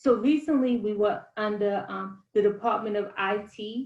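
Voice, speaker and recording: At a moderate pace, a woman with a fairly high pitch talks in a plain, everyday voice with ordinary pitch variation. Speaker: outreach manager presenting a state program. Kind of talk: presentation.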